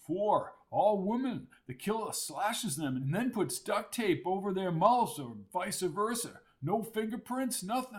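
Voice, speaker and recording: Putting on a character voice, a man speaks high-pitched with lively intonation at a fairly slow pace. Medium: read story. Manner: good-humored, teasing.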